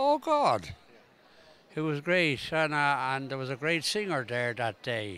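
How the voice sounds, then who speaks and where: A man with an Irish accent, a bright, sharp tone and very wide pitch swings. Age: 80s+. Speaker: congress attendee, interviewee. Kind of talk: outdoor vox pop interview. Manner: halting.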